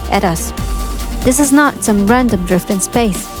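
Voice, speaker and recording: Backed by music, a woman speaks at a moderate pace. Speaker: voiceover narrator. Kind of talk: documentary narration. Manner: clear, awed.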